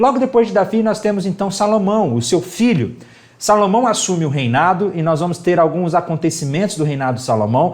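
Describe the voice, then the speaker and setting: A high-pitched man speaks at a fairly quick pace in an animated tone. His intonation is lively, and room echo is audible. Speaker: bible teacher. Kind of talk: lecture. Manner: fast.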